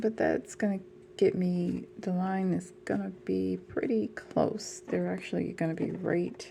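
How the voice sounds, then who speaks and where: A soft-spoken woman at a very slow pace. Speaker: dollhouse crafter. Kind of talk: tutorial.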